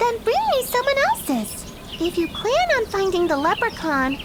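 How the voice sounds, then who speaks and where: This put-on character voice sounds female, squeaky and extremely high in pitch. It moves at a moderate pace over loud background noise. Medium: video game. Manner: coy, bargaining.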